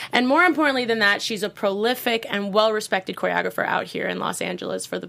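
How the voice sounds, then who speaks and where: A woman with an American accent, talking very fast with hardly any pauses over noticeable background noise. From New York City (Brooklyn). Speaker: podcast host and dancer. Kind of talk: casual interview chat. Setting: studio.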